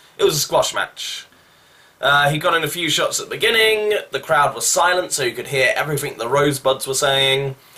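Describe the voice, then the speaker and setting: Over noticeable background noise, a man with a fairly high pitch for a man talks at a fairly quick pace with ordinary pitch variation. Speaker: wrestling show reviewer. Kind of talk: casual review monologue. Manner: casual, with fillers.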